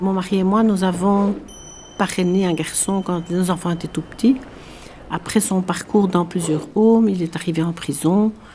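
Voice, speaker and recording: Over noticeable background noise, a woman talks fairly slowly at a medium pitch with fairly even intonation. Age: 70s. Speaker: prison visitor and association president. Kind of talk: testimony.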